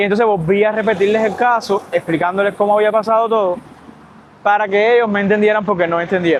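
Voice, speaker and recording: In a Cuban accent, a man speaks at a very fast pace and a high pitch, his loudness very even. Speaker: medical worker vlogger. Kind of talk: casual storytelling vlog. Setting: outdoors by a lagoon. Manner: animated.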